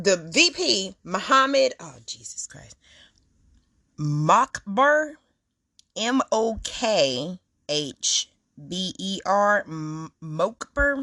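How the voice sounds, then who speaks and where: A woman speaks at a very slow pace with long, frequent pauses, medium pitch and very wide pitch swings. Her tone is bright and sharp, her loudness swings widely, and the sound is dry and close with no echo. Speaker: podcast host. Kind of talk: casual commentary. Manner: halting.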